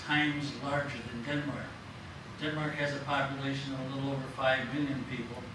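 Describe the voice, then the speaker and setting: A man with an American accent speaks fairly quickly in a fairly high pitch and a flat, monotone delivery. The room has audible echo, and background noise is noticeable. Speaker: panel speaker at a public lecture. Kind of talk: public talk.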